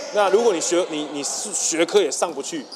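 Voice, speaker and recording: A man with a fairly high pitch and lively intonation, over noticeable background noise and audible room echo. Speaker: volleyball coach and school PE head. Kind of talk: interview. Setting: school gymnasium.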